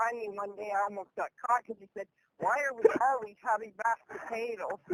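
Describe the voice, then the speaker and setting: Talking at a fairly quick pace, a woman with an unremarkable speaking voice uses a fairly high pitch and fairly even intonation in a dry, close sound with no echo. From Canada. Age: 60s. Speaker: former home care worker. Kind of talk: interview answer.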